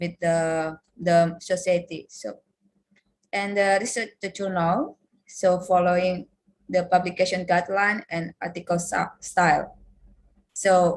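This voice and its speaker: This woman talks at a very slow pace with a medium pitch and fairly even intonation. Her voice is somewhat breathy, with an Indonesian accent. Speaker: lecturer. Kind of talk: workshop presentation.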